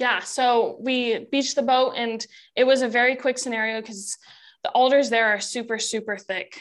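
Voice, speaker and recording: A high-pitched woman with an American accent, at a moderate pace with fairly even intonation, on a very clean recording with a silent background. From Oregon. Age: 20s. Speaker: bowhunter and outdoor content creator. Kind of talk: casual chat.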